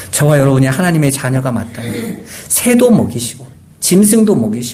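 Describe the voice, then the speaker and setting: Amid noticeable background noise and audible room echo, a man at a medium pitch talks at a fairly quick pace with very wide pitch swings. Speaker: pastor. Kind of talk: sermon. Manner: conversational.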